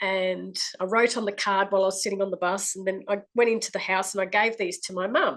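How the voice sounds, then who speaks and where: A woman with an Australian accent speaks at a medium pitch and moderate pace, her intonation fairly even. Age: 60s. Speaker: clairvoyant. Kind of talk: testimony. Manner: halting.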